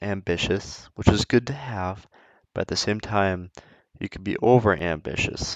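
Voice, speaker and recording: Mumbling at a fairly slow pace, a man speaks in a fairly low pitch. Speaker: gaming YouTuber. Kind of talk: casual chat.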